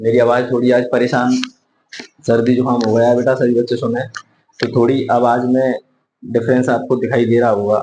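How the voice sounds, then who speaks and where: A man speaks at a fairly slow pace with long, frequent pauses. His intonation is monotone and flat. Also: medium pitch for a man, very even loudness. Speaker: math teacher. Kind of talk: lecture.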